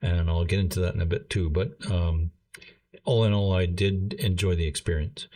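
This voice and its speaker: Against a quiet background, a man with a very deep, low pitch talks at a moderate pace, somewhat breathy, with ordinary pitch variation and very even loudness. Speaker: gaming channel creator. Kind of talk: casual commentary monologue.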